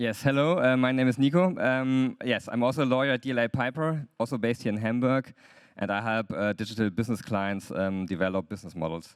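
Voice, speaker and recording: Speaking very fast with a German accent, a man at medium pitch shows ordinary pitch variation on a very clean recording with a silent background. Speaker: lawyer. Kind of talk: conference talk. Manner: hesitant, many fillers.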